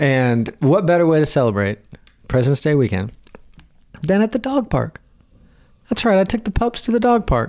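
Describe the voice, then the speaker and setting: With an American accent, a man speaks at a moderate pace and very even loudness, his pitch swinging very widely between long, frequent pauses. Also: fairly high pitch for a man. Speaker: podcast host. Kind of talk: casual chat.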